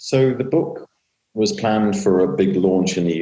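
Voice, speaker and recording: A man with a British accent, lively intonation and vocal fry. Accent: British, easier to understand than American. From Britain. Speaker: author and fintech commentator. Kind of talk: interview monologue.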